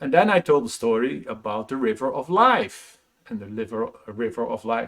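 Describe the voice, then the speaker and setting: Very wide pitch swings mark this man's speech in a Dutch accent. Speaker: motivational speaker. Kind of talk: casual vlog monologue. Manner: halting.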